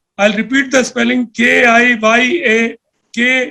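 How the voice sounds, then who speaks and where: The man's raised, projected voice is extremely high in pitch with a bright, sharp tone. His intonation stays monotone and flat. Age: 60s. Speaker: panel speaker on security policy. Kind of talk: talk to a think tank panel. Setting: video call.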